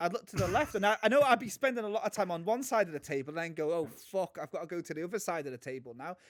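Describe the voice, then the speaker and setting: A man with a British accent talks at a very fast pace with a high pitch and very wide pitch swings, leaving hardly any pauses. The sound is dry and close with no echo. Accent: British, similar to the guest's. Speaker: podcast co-host. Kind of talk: casual chat. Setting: remote recording.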